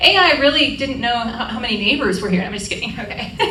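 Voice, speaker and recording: A woman's raised, projected voice at a fairly quick pace, with audible room echo and noticeable background noise. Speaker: aging-in-place home safety specialist. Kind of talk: community presentation. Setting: room with live audience. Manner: fast; interactive, conversational.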